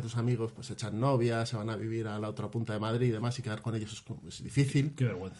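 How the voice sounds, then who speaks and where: A man speaks at a very fast pace. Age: 30s. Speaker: gamer and podcast patron. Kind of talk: casual chat.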